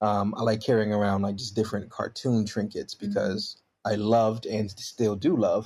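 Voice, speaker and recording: An ordinary speaking voice: a man of medium pitch at a moderate pace with fairly even intonation. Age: 30s. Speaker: youth ministry worker. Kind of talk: casual chat.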